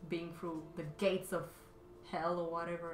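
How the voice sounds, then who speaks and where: In a Romanian accent, a woman talks at a fairly low pitch amid audible room echo and noticeable background noise. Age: 30s. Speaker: artist live streamer. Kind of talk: casual chat. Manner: halting.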